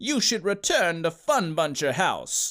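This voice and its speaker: Doing a put-on character voice, a man speaks in a high pitch on a very clean recording with a silent background. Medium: read story. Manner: stoic, calm.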